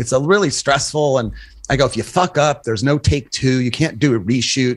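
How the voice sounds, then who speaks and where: A man at a medium pitch and a fairly quick pace, with ordinary pitch variation. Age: 60s. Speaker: photographer. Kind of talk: casual chat. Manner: animated.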